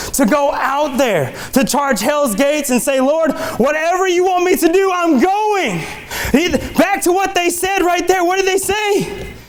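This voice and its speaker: Over noticeable background noise and audible room echo, a man with an extremely high-pitched voice talks at a fairly slow pace with lively intonation and very even loudness. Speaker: lay preacher. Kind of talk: sermon. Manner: animated.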